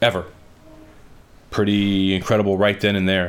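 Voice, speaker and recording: A man's animated tone at a fairly quick pace. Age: 40s. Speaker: sports podcast host. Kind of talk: sports analysis monologue.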